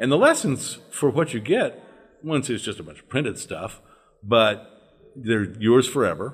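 Using an unremarkable speaking voice, a man with an American accent speaks at a moderate pace and medium pitch, his intonation lively. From US South, northern Louisiana. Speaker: former religious group member. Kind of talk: casual interview.

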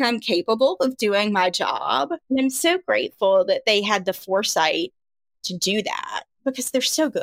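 With an ordinary speaking voice, a woman talks at a moderate pace and a fairly high pitch, her intonation lively and the sound dry and close with no echo. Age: 40s. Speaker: communications director. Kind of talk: interview.

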